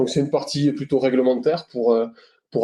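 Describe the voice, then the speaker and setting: With a Toulouse accent, a man speaks at a medium pitch in a dark, mellow tone and with fairly even intonation. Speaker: RSE consultant. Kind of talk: webinar presentation. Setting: online webinar. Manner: hesitant, many fillers and repetitions.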